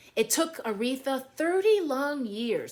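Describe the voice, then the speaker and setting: Very wide pitch swings at a moderate pace, with music in the background. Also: woman. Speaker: Broadway performer reading a children's book. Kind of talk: children's picture book read-aloud.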